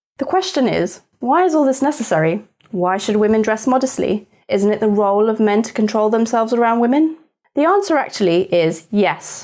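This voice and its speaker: Lively intonation carries speech that moves at a fairly quick pace. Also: woman, fairly high pitch for a woman. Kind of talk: educational explainer to camera. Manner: soft-spoken.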